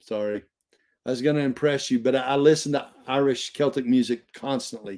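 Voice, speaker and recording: A man is speaking at a moderate pace. Behind him, the background stays quiet. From Texas. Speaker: Bible study teacher. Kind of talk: casual chat. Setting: live stream. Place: home room. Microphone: webcam.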